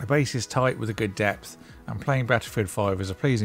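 Ordinary pitch variation over faint background music. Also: man.

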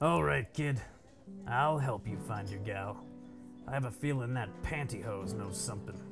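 Through a cartoonish character voice full of very wide pitch swings and long, frequent pauses, a man speaks over clear background music. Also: fairly low pitch for a man, moderate pace. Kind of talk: film noir parody. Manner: gruff, tough-talking, sarcastic.

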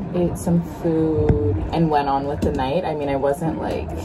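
Clear background noise is present. The intonation stays fairly even. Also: woman, low pitch for a woman, fairly slow pace.

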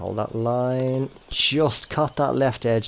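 A man is talking, and noticeable background noise is present. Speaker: gaming YouTuber. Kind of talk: video game commentary. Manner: casual, chatty.

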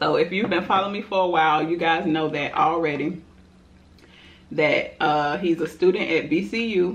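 A woman with an unremarkable speaking voice, fairly low in pitch, with ordinary pitch variation and a moderate pace. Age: 30s. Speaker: mukbang youtuber; mukbang vlogger. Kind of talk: casual chat while eating. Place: home room. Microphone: camera far.

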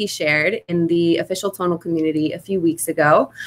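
This woman talks at a fairly quick pace. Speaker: fitness company livestream host. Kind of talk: live-streamed interview. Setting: sun porch, live video stream. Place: home room. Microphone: webcam.

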